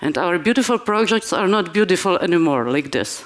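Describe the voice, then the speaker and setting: Lively intonation marks this woman's speech. She has a medium pitch and a Polish accent. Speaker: conference speaker. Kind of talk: conference talk. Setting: stage with audience. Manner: halting.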